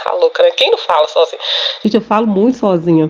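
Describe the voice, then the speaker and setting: There is noticeable background noise. Through it, a woman speaks at medium pitch. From Minas Gerais, Brazil. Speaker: podcast host, holistic therapist. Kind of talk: casual monologue. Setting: home recording.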